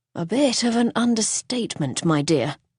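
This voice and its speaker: A woman does a raspy, put-on character voice with a fairly high pitch, very wide pitch swings and a moderate pace, in a dry, close sound with no echo. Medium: read story.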